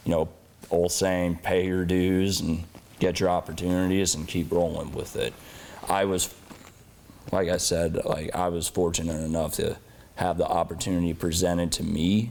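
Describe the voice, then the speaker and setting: Amid noticeable background noise, a man with a very deep, low voice talks at a moderate pace in a monotone, flat way, leaving long, frequent pauses. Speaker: pro wrestler, tag team champion. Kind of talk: interview.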